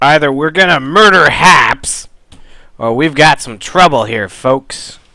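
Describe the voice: A put-on character voice, raspy and low-to-middle in pitch. It moves at a fairly slow pace.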